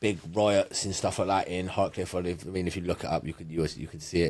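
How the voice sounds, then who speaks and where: A man with a Bristol accent speaks at a very fast pace. His intonation is fairly even, on a very clean recording with a silent background. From England, Bristol. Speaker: power slap fighter. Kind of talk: casual interview chat. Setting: studio.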